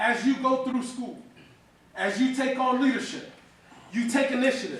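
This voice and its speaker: Loud and animated, a man with a New York accent speaks in an extremely high pitch, with audible room echo and noticeable background noise. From New York City (Far Rockaway, Queens). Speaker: motivational speaker. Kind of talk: keynote speech. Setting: stage with audience.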